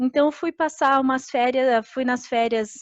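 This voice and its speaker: Set against a quiet background, the recording is dry and close, with no echo. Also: woman. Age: 30s. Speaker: agronomist giving a career talk. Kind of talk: online career presentation with slides. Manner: hesitant, many filler sounds.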